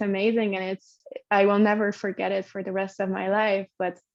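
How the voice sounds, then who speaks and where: In a Hungarian accent, a woman speaks at a medium pitch. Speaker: podcast guest sharing birth story. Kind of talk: personal storytelling interview. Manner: halting, many fillers and repeats.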